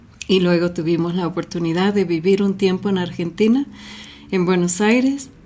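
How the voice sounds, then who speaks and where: A woman speaks at medium pitch with a dark, mellow tone and fairly even intonation. The recording is very clean, with a silent background. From US, Los Angeles, with childhood in Mexico and Colombia. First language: English (speaking Spanish). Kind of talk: Bible reflection talk.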